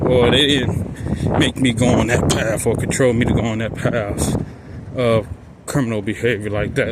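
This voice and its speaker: Noticeable background noise and audible room echo surround a man speaking at a moderate pace in a medium pitch. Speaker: vlogger. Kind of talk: walking vlog monologue. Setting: outdoors, walking in the street.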